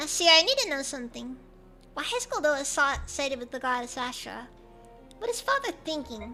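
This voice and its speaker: A woman puts on a character voice at a moderate pace. Clear music plays in the background. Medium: virtual streamer.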